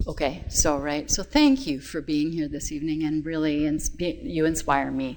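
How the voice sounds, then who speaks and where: A woman speaks with hardly any pauses. Noticeable background noise is present. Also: moderate pace. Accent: Canadian. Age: 60s. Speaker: holistic health practitioner and numerologist. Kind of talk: talk to a group.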